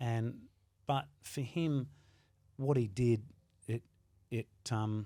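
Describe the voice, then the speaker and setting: With an Australian accent and a dark, mellow tone, a man speaks at a very slow pace, leaving long, frequent pauses. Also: medium pitch for a man, ordinary pitch variation. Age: 60s. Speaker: world record holder and fitness trainer. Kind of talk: podcast interview. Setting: gym.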